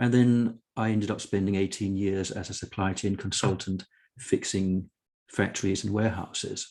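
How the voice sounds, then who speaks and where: Over a quiet background, a man speaks in a dark, mellow tone. His pace is moderate, with ordinary pitch variation. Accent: Danish. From Denmark. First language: Danish. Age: 60s. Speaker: author and consultant. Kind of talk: interview conversation.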